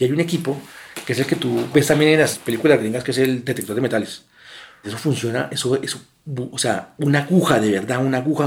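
Fairly quick delivery in a plain, everyday voice, its pitch shifting in an ordinary way. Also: man. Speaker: son of kidnapping victims. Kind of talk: testimony.

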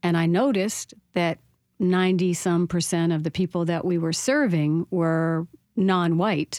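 A woman with a normal speaking voice, fairly low in pitch, at a moderate pace and with fairly even intonation, on a very clean recording with a silent background and a dry, close sound with no echo. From French Canadian American border town. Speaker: author and speaker. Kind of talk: radio interview.

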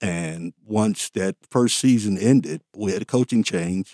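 In a very clean recording with a silent background and a dry, close sound without echo, a man talks in a dark, mellow tone at a fairly low pitch with ordinary pitch variation. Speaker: running club member. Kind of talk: interview. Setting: studio.

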